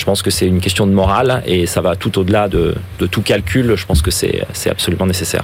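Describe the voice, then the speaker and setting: A man's very deep, low voice at a fairly quick pace, with fairly even intonation and noticeable background noise. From France, Ardèche. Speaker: investment fund founder and football club president. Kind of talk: radio interview.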